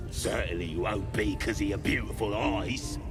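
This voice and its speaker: A man's put-on character voice, very deep and low, at a moderate pace over loud background music. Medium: machinima. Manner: coarse, colloquial.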